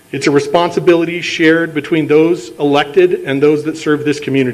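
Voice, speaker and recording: Speaking at a moderate pace, a man has a fairly high pitch and fairly even intonation. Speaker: political candidate. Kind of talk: campaign speech. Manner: formal.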